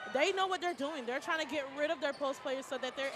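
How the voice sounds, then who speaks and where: With noticeable background noise behind her, a woman speaks in an animated tone at a high pitch. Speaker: color commentator. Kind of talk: live commentary. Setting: gymnasium broadcast.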